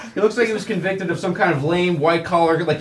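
Through noticeable background noise comes a man's voice with a high pitch. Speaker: comedian. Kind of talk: comedic roast.

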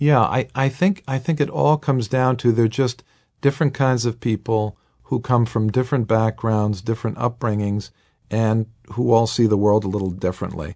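With a Boston accent, a man speaks at medium pitch and moderate pace in a dark, mellow tone, with ordinary pitch variation, very even loudness and a quiet background. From US Northeast, Boston. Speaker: heir of a noble family, heritage manager. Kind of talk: interview.

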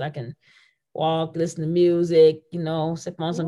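In an ordinary speaking voice, a woman with a fairly low pitch keeps to a moderate pace. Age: 50s. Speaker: basketball coach. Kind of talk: casual chat.

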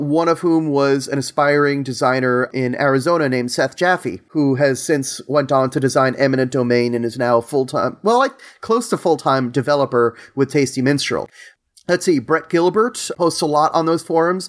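Fairly high-pitched male voice with ordinary pitch variation and very even loudness, on a very clean recording with a silent background. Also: moderate pace. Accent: New York. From New York, Long Island. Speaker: board game designer. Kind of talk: casual interview.

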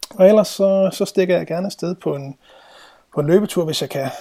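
Dark and mellow in tone, a somewhat breathy man speaks at a moderate pace. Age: 30s. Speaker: productivity trainer. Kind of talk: interview.

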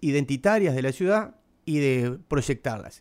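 A man at a fairly slow pace in a very clean recording with a silent background. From Paraná, Entre Ríos, Argentina. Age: 50s. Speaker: musician and cultural manager. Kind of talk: casual interview.

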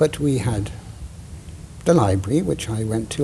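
A man speaks at a moderate pace with a fairly low pitch. Noticeable background noise and audible room echo fill the recording. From Wales, Cardiff. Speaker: theatre director and playwright. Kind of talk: casual interview. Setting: theatre stage. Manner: halting, self-interrupting.

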